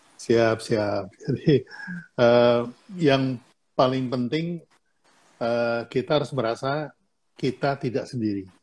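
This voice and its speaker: With long, frequent pauses, a man speaks at a very slow pace, his pitch medium and his pitch variation ordinary. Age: 70s. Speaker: business mentor. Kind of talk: casual chat. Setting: Instagram Live video stream.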